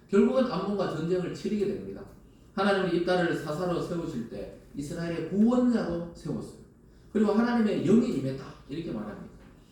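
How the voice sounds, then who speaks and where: Animated, fairly quick speech from a high-pitched man, with audible room echo and noticeable background noise. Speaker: pastor. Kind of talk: sermon. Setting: church. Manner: animated, conversational.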